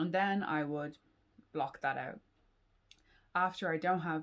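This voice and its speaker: A woman talks with a Dublin accent in a fairly low pitch. She keeps a moderate pace and fairly even intonation. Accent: Irish (Dublin). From Ireland. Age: 20s. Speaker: PhD student and YouTuber. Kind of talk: casual Q&A vlog.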